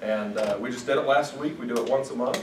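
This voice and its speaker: A man speaks at medium pitch with an American accent. There is audible room echo and light background noise. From Idaho. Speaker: IT director, guest speaker; guest. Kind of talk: talk to university students. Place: classroom. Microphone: camera far.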